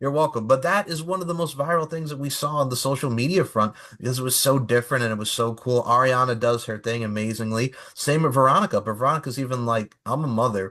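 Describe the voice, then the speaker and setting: A man with an American accent, very fast and animated, his medium-pitched voice bright and sharp, with ordinary pitch variation. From Long Island, New York. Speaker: podcast co-host. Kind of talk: casual chat.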